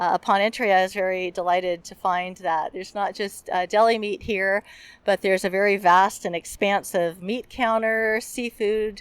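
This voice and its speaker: A woman with a plain, everyday voice speaks in an American accent at a fairly slow pace and medium pitch. Her intonation stays fairly even, and the recording is very clean with a silent background. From US, outside Arkansas. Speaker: podcast host. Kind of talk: vlog intro narration. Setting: in a market.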